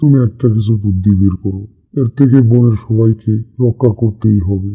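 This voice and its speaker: A man puts on a cartoonish character voice at a medium pitch. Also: moderate pace. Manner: authoritative.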